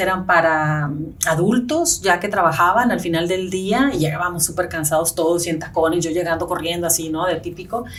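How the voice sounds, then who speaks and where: Audible room echo around a woman with a Spanish accent, her fairly low voice showing ordinary pitch variation. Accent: marked Spanish accent in English. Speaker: real estate agent. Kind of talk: interview.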